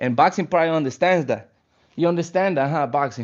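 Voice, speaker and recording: A man with a Spanish accent talks at a fairly quick pace with ordinary pitch variation. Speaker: fitness streamer. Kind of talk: live stream casual chat. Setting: live stream while stretching. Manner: casual, relaxed.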